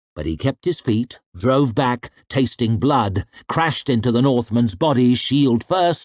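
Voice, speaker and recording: In a dry, close sound with no echo, a man talks in a normal speaking voice at medium pitch, with lively intonation and a fairly slow pace. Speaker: audiobook narrator. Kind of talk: audiobook fantasy fiction reading.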